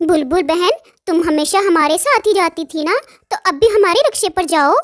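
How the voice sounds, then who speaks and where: Putting on a cartoonish character voice, a woman talks at a moderate pace in an extremely high pitch. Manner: sharp, mocking.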